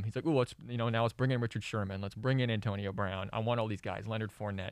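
A man speaks very fast with an American accent, at a medium pitch with ordinary pitch variation. The recording is very clean, with a silent background. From central Illinois. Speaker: sports analyst, journalism student. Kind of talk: sports debate.

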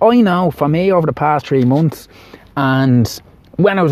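An Irish accent from a man with lively intonation, over noticeable background noise. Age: 30s. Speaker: podcast host. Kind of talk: personal monologue.

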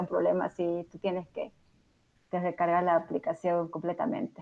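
Delivery is at a fairly slow pace. It is an unremarkable speaking voice. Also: woman. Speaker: software developer. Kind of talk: technical tutorial.

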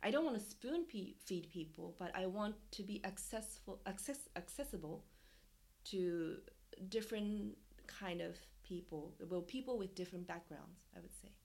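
A woman at medium pitch with vocal fry, ordinary pitch variation, big swings in loudness and a moderate pace. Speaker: dancer and performance artist. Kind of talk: casual interview conversation. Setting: video call.

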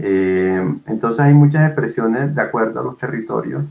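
A man talks in a normal speaking voice. His pace is moderate, with ordinary pitch variation. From Colombian Caribbean, Barranquilla. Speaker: literature professor and researcher. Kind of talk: interview.

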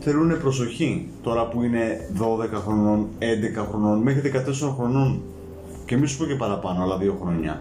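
Over music in the background, a man talks at a fairly slow pace with a medium pitch, lively intonation and audible room echo. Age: 20s. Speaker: podcast guest. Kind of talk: casual chat. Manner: halting.

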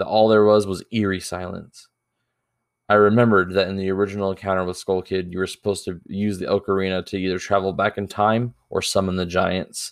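Against a quiet background, a man talks fairly quickly in a fairly low, monotone, flat voice. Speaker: creepypasta narrator. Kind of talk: ghost story telling, first-person horror narration read aloud. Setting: home recording for podcast and YouTube.

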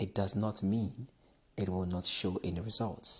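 Moving at a fairly slow pace, the voice sounds somewhat breathy. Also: man. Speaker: podcast host. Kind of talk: motivational monologue.

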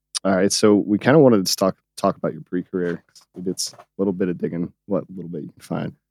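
A very fast American-accented man's voice, very deep and low in pitch, dark and mellow in tone, with ordinary pitch variation, big swings in loudness and a dry, close sound with no echo. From North Carolina, US. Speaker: podcast co-host, streamer. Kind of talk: casual interview.

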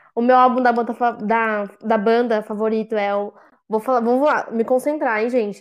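A woman speaks in a fairly high voice at a moderate pace. Her intonation stays flat and monotone. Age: 20s. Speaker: fan podcast co-host, public relations professional. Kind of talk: casual chat.

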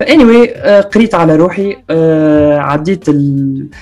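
A man's fairly high voice comes through with music playing behind it. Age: 20s. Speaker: university student and content creator. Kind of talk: casual interview chat.

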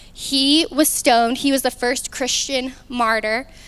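The voice moves at a fairly slow pace with fairly even intonation. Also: woman. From Arkansas. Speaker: youth ministry speaker. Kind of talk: sermon. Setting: stage with audience.

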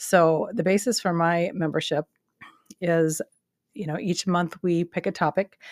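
Fairly low-pitched for a woman, her voice moves at a fairly slow pace with fairly even intonation and long, frequent pauses, sounding dry and close with no echo. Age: 50s. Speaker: health coach and podcast host. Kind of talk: casual solo talk. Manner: hesitant with filler words.

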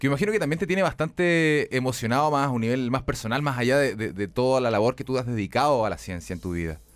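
Over music in the background, a man with a Chilean accent and a medium-pitched voice speaks at a very fast pace, with very wide pitch swings and hardly any pauses. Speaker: radio host. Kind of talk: radio talk show.

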